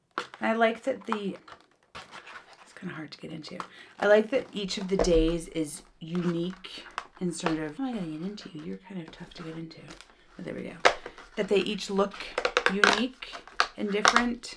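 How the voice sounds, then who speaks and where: At a moderate pace, a woman with a medium pitch and ordinary pitch variation talks with big swings in loudness and long, frequent pauses over noticeable background noise. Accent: American. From United States. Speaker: beauty youtuber. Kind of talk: casual product unboxing chat.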